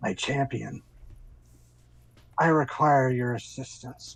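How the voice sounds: A put-on character voice rumbles along at a fairly slow pace in a low-to-middle pitch.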